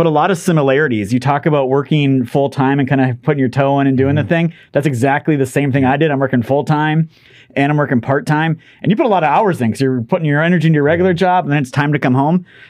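With an American accent, a man talks at a very fast pace and keeps his loudness very even. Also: fairly high pitch for a man, ordinary pitch variation. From northern Minnesota. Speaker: podcast host and company CEO. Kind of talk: interview podcast. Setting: studio.

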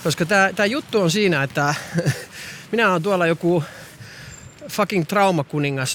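At a fairly quick pace, a man speaks in a high pitch with lively intonation. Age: 40s. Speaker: podcaster. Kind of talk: walking monologue podcast. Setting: outdoors, walking.

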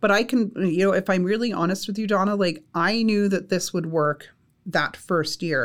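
With a Canadian accent, a woman speaks at a medium pitch and moderate pace with ordinary pitch variation, in an unremarkable speaking voice. The recording is very clean with a silent background. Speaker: college instructor. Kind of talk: casual interview.

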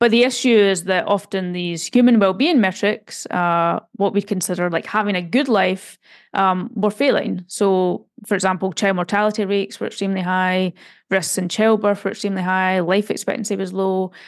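A woman with a plain, everyday voice, medium pitch, moderate pace and fairly even intonation, on a very clean recording with a silent background. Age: 30s. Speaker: data scientist and author. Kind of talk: interview.

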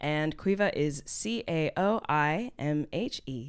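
On a very clean recording with a silent background, a woman with an American accent speaks in very wide pitch swings. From US, Houston, Texas. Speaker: poet, spoken word artist. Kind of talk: casual chat.

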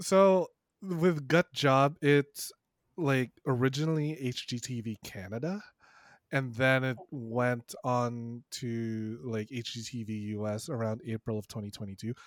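On a very clean recording with a silent background and a dry, close sound with no echo, a man speaks. He has an ordinary speaking voice of medium pitch, lively intonation and a fairly slow pace. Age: 30s. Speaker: sex educator podcaster. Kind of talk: casual chat.

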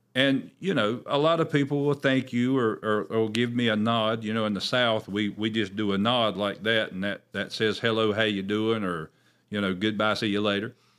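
In a plain, everyday voice, a man speaks at a moderate pace and medium pitch, with ordinary pitch variation and hardly any pauses. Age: 40s. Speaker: pastor hosting a church podcast. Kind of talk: religious commentary podcast. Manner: conversational with frequent fillers and repetitions.

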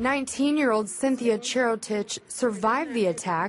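A woman speaks in an unremarkable speaking voice. She keeps a moderate pace with ordinary pitch variation. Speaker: news reader. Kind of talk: news reading.

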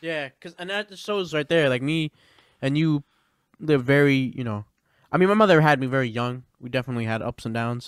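Speaking in a normal speaking voice, a man goes at a fairly quick pace with a fairly high pitch and ordinary pitch variation, the sound dry and close with no echo. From Pennsylvania, US. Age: 20s. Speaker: hip-hop artist. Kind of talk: casual chat.

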